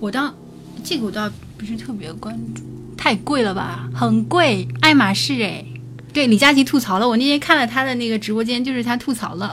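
With noticeable background noise behind her, a woman talks at a fairly quick pace, her loudness swinging widely. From Jiangsu, China. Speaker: podcast co-host. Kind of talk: live-stream casual chat.

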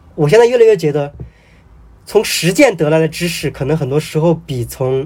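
A man with a normal speaking voice talks at a moderate pace, fairly high in pitch and with lively intonation. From Hubei, China. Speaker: novelist. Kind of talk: casual interview conversation.

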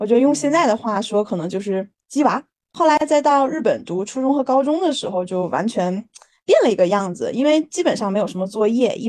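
With an unremarkable speaking voice, a woman speaks at a fairly quick pace with lively intonation. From Harbin, northeast China. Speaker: startup founder. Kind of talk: interview.

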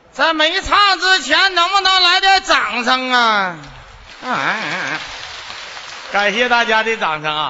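Amid noticeable background noise and audible room echo, a man with an extremely high pitch speaks at a very slow pace, with very wide pitch swings and long, frequent pauses. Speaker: folk opera performer. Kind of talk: stage comedy banter. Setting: stage with audience. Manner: animated.

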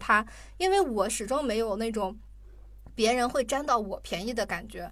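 Here a woman uses a normal speaking voice with a fairly high pitch. Her intonation is lively and her pace is moderate. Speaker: podcast guest host. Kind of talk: casual chat.

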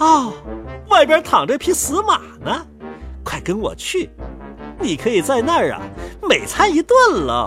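A woman uses a put-on character voice with a fairly bright tone, a high pitch and very wide pitch swings, at a fairly slow pace. Faint music plays in the background.

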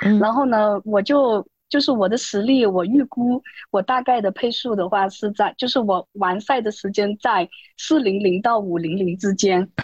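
A plain, everyday voice moves at a moderate pace with ordinary pitch variation. The sound is dry and close, with no echo. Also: woman, medium pitch for a woman. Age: 30s. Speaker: amateur runner, interview candidate. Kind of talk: interview.

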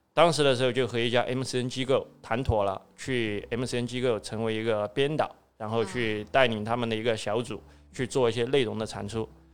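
A man speaks in a southwestern Chinese accent at a medium pitch. His intonation is fairly even and his pace moderate. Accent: Southwestern Mandarin. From Southwest China. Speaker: escape room entrepreneur. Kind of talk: interview.

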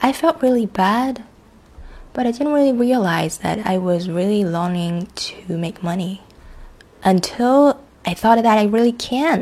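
Somewhat breathy, a woman speaks at medium pitch and a fairly slow pace. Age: 20s. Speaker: solo podcaster, English tutor. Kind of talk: personal reflective monologue. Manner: halting, self-correcting.

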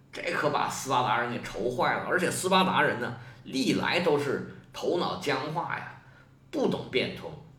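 A man's fairly high voice carries lively intonation, heard through audible room echo and noticeable background noise. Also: moderate pace. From China. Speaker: history podcaster. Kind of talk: storytelling. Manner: animated.

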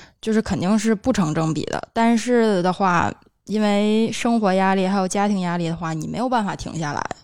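This is an ordinary speaking voice from a woman at a medium pitch with ordinary pitch variation. She keeps a moderate pace on a very clean recording with a silent background. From Tianjin. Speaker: podcast co-host. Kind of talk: casual chat.

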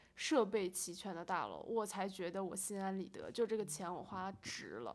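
A woman with an unremarkable speaking voice talks at a medium pitch and a moderate pace, with ordinary pitch variation. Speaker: rental agent and student. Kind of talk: casual chat.

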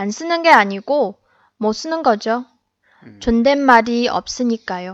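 Speaking at a very slow pace with long, frequent pauses, a woman with a Chinese accent uses a fairly high pitch and lively intonation. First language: Chinese (speaking Korean). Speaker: podcast co-host, Korean learner. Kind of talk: casual chat.

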